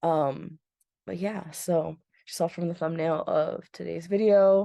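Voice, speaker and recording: A woman's fairly low, dark, mellow voice, fairly slow and fairly even in intonation, with a dry, close sound and no echo. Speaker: book vlogger, children's librarian. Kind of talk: casual chat. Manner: halting, many fillers.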